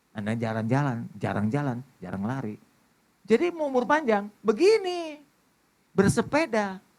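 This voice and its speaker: The man's tone is animated, and his pace moderate. He leaves long, frequent pauses. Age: 60s. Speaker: pastor. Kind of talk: sermon.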